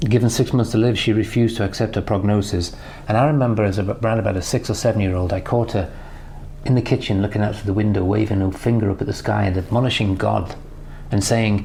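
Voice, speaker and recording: A man with a British accent, fairly low in pitch, at a very fast pace with fairly even intonation, over noticeable background noise. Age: 60s. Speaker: business mentor. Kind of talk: recorded personal tribute message.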